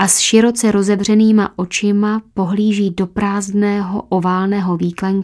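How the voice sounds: The natural reading voice keeps its pitch mostly level from line to line.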